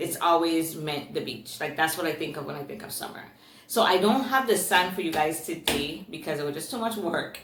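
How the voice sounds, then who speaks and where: A woman's fairly low voice with an American accent, lively intonation, an animated tone, big swings in loudness and a fairly quick pace, over noticeable background noise and audible room echo. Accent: Virgin Islands accent, noticed by commenters. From US Virgin Islands, Saint Thomas. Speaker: booktuber. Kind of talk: book review.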